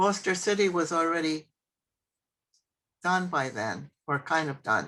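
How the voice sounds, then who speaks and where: Against a quiet background, a woman speaks at a very slow pace. Her pitch is fairly low, with ordinary pitch variation. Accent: slight New York. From New York State, Westchester County. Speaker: church member. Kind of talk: interview.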